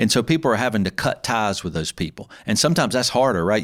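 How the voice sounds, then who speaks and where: This man has a fairly low pitch and talks at a fairly quick pace. The recording is very clean, with a silent background. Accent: Southern US. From US South. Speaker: podcast host and accountant. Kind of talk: solo podcast talk. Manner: fast.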